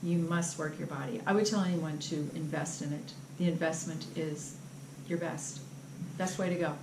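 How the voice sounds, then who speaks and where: The speech moves at a moderate pace with fairly even intonation and long, frequent pauses. Noticeable background noise and audible room echo fill the recording. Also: woman, very deep, low pitch for a woman. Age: 60s. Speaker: patient testimonial. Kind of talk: testimony.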